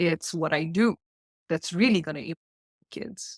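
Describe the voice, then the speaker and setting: A woman with a South African accent speaks in a fairly low pitch with vocal fry. The sound is dry and close with no echo, on a very clean recording with a silent background. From South Africa (Indian South African). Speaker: life coach, mother. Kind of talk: podcast interview.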